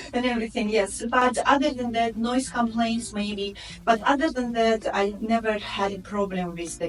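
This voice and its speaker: With music in the background, a woman with a Russian accent speaks at a fairly high pitch with ordinary pitch variation and hardly any pauses. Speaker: real estate agent. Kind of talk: interview. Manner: halting.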